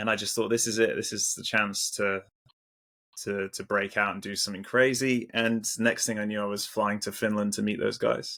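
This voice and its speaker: An English accent in a bright, sharp tone, monotone with flat intonation, at a moderate pace. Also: man, fairly low pitch for a man. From England. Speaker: metal musician. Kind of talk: casual interview chat. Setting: video call. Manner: halting, repeats words.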